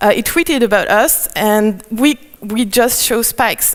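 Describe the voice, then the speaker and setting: With a French accent, a woman speaks using ordinary pitch variation. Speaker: conference speaker. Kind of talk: conference talk. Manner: halting, many fillers.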